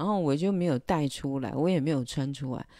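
At a moderate pace, a woman talks in a very deep, low pitch with ordinary pitch variation and a dark, mellow tone, the sound dry with no echo and the background quiet. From Taiwan. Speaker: illustrator and livestreamer; livestreamer. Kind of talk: casual livestream monologue. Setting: livestream. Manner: hesitant, many filler sounds. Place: home room. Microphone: handheld.

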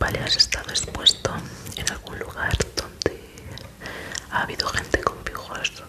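A woman whispers in a soft-spoken, breathy way at a fairly slow pace. Loud background noise runs behind her. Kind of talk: ASMR roleplay, soft-spoken questions. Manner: soft, breathy ASMR near-whisper. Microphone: studio mic.

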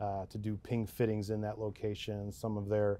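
This man speaks in a fairly low pitch with monotone, flat intonation. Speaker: guest. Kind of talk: interview answer. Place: studio. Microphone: lapel.

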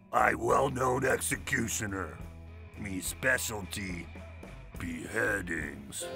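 Over clear music in the background, a man speaks in a raspy, put-on character voice with a fairly low pitch at a very slow pace. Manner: drunken.

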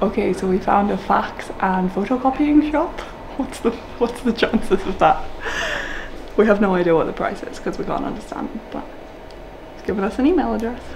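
A woman talks at a fairly quick pace. Noticeable background noise runs underneath. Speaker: travel vlogger. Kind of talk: casual vlog chat. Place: shop. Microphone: phone near.

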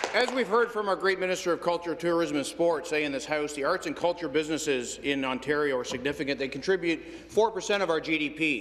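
A man talks with hardly any pauses and ordinary pitch variation. Light background noise sits under his voice. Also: fairly high pitch for a man, fairly quick pace. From Canada. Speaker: provincial legislator. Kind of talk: parliamentary statement. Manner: halting. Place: hall. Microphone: podium.

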